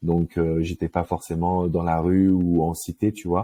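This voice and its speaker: A man with a very deep, low pitch and a dark, mellow tone is heard in a dry, close sound with no echo. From Paris suburbs, France. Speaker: love coach. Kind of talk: interview. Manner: casual, hesitant with many euh.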